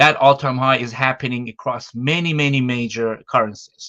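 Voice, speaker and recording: The voice has a bright, sharp tone in a dry, close sound with no echo. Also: man. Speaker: market data analyst. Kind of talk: interview, market analysis. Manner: fast.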